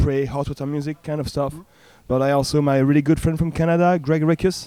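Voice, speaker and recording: With a French accent, a man speaks in a dark, mellow tone at a fairly high pitch, his intonation fairly even. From France. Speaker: punk band member. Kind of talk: casual interview. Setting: music festival.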